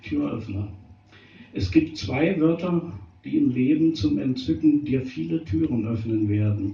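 Fairly slow, somewhat breathy delivery with very wide pitch swings. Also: man, medium pitch for a man. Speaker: slam poet. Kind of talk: poetry slam performance of short rhymed jokes. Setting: stage with live audience. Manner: playful and wry.

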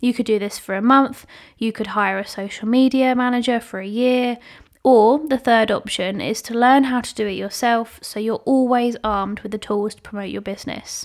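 Speaking at a moderate pace, a woman with a British accent has a fairly high pitch. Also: fairly even intonation. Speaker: podcast host and social media manager. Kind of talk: solo podcast talk.

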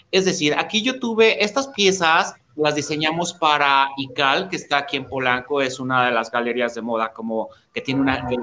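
A man with a plain, everyday voice, fairly high pitch and lively intonation, at a moderate pace with hardly any pauses. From Mexico, Oaxaca (born Tehuacán, Puebla). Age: 40s. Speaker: menswear fashion designer. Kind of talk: interview.

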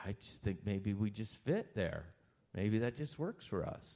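A man talks at a fairly slow pace with a central Pennsylvania accent. His pitch rises and falls in an ordinary way. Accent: central Pennsylvania American. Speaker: pastor. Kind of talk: Q&A interview with congregation.

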